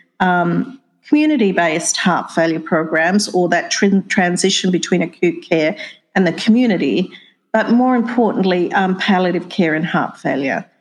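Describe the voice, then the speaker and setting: With an Australian accent, a woman speaks at a medium pitch and a moderate pace. Her intonation is lively and her loudness very even. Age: 60s. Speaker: nursing dean and professor. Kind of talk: interview.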